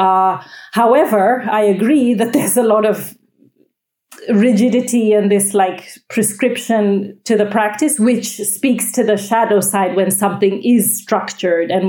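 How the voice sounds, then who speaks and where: A woman with an American accent speaks at a medium pitch and moderate pace. Her tone is dark and mellow, her intonation fairly even. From United States. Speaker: yoga teacher. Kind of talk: casual chat.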